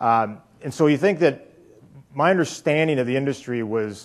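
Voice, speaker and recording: A man with a Canadian accent at a very fast pace, with ordinary pitch variation. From Canada. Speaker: company executive. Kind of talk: keynote speech. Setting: stage with audience. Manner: casual, with many filler words.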